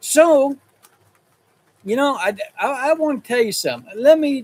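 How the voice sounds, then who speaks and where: A man speaks with a Texas accent. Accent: Texas rural. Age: 70s. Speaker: rancher and livestreamer. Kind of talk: casual livestream chat. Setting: in a shop, livestream. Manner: halting, with many repeats and fillers.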